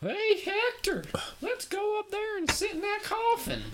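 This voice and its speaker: Using a put-on character voice with a Southern US accent, the speaker goes at a moderate pace with extremely high pitch over clear background noise. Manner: mock, put-on.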